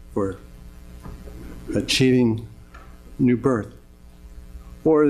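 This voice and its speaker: A man at a medium pitch talks with ordinary pitch variation while music plays in the background. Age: 60s. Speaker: Parkinson's patient testifying at hearing. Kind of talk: public testimony. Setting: legislative committee hearing room. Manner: halting, with repeated words and stumbles.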